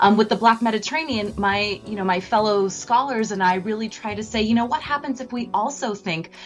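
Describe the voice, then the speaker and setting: A woman with a General American accent talks at a fairly quick pace over music in the background. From California. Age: 30s. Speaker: professor. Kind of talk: radio interview. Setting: radio broadcast.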